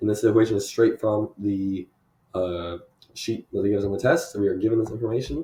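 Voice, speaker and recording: Very fast and somewhat breathy, a man talks with a fairly low pitch and a dark, mellow tone. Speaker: university student. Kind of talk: lab presentation walkthrough. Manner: casual with filler words.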